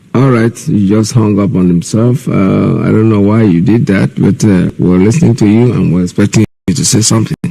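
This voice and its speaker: A man with a Nigerian accent, fairly low in pitch, at a fairly quick pace with lively intonation and very even loudness. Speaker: radio host. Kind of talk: call-in radio talk.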